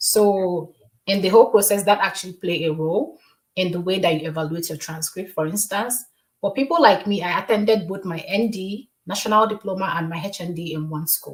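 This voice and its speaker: A somewhat breathy woman's voice at medium pitch, with ordinary pitch variation and big swings in loudness. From Nigeria, Anambra State. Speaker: communications specialist. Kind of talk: podcast interview.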